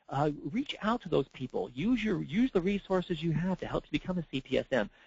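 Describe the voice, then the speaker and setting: This man's voice is high-pitched, with lively intonation. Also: fairly quick pace. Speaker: certification program manager giving training. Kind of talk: recorded webinar presentation. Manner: fast; halting, many fillers and repeats.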